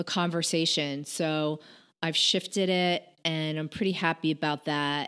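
Against a quiet background, a woman with an American accent has an ordinary speaking voice, a fairly low pitch and ordinary pitch variation at a fairly slow pace. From Connecticut, US. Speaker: podcaster and entrepreneur. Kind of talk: casual interview chat.

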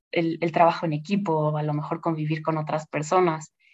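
A woman at a moderate pace. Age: 40s. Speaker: investment director and finance professor. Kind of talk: interview. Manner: hesitant fillers.

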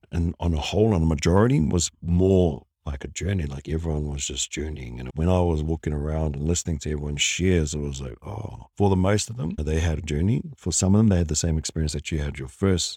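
In a New Zealand accent, a man speaks at a very fast pace with a very deep, low pitch and a dark, mellow tone. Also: ordinary pitch variation, hardly any pauses. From New Zealand, Wellington. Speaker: podcast co-host, former construction worker. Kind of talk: casual chat.

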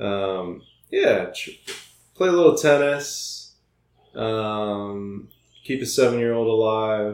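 A man with an American accent talks at a very slow pace in a medium pitch, leaving long, frequent pauses. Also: ordinary pitch variation, big swings in loudness. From US Midwest (Iowa). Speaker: architect. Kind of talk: casual interview.

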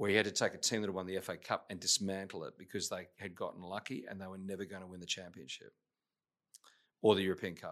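A man with an Australian accent talks at a very fast pace in a very deep, low pitch. His intonation is monotone and flat, with big swings in loudness. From Australia, Adelaide. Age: 50s. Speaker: business executive. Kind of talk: interview. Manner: hesitant, many fillers.

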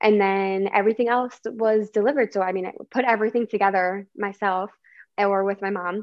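A woman with an American accent talks at a fairly quick pace in a medium pitch, her intonation flat and monotone. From Chicago suburbs. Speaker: biomedical engineer. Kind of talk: casual chat. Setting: video call.

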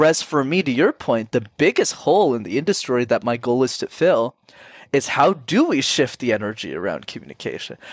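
On a very clean recording with a silent background and a dry, close sound with no echo, a man with a Canadian accent talks at a fairly quick pace with a fairly high pitch and very wide pitch swings. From Canada, Sri Lankan immigrant family. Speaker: communication coach. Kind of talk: interview.

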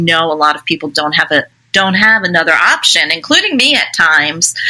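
Here is a woman with a fairly low pitch and a plain, everyday voice. She talks at a fairly quick pace with ordinary pitch variation. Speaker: author and former school counselor. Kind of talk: interview.

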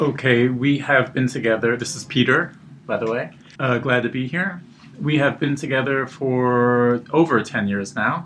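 With a medium pitch, this man has an unremarkable speaking voice. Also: ordinary pitch variation, moderate pace. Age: 30s. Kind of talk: interview.

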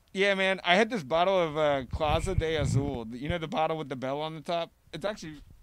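Speaking at a fairly quick pace with hardly any pauses, a man uses a plain, everyday voice of fairly high pitch and ordinary pitch variation, recorded very cleanly over a silent background. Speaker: podcast host. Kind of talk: casual chat. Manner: joking.

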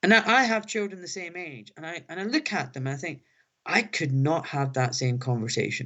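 With a Glaswegian accent, a high-pitched man speaks fairly quickly, his pitch swinging very widely and his loudness rising and falling sharply. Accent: Glaswegian Scottish. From Scotland, Glasgow. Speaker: orthopaedic surgeon. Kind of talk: interview. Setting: phone line.

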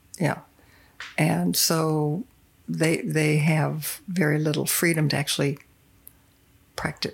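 The speaker uses an American accent with vocal fry, at a very slow pace with long, frequent pauses. Intonation is fairly even and loudness very even. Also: woman, very deep, low pitch for a woman. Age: 70s. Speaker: retired English teacher. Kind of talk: casual chat.

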